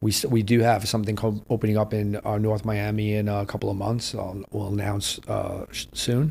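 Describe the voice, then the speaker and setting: With a New York accent, a man talks at a fairly quick pace with hardly any pauses, his fairly low, somewhat breathy voice flat and monotone. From New York City, Lower East Side and Queens. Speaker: restaurateur and former nightclub promoter. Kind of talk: podcast interview. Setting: New York City.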